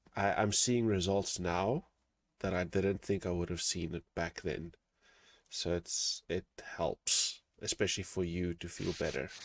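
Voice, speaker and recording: In a non-native accent, a man with a very deep, low pitch talks at a fairly slow pace with ordinary pitch variation on a very clean recording with a silent background. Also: dry, close sound with no echo. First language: not English. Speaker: interviewer. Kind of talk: interview. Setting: call.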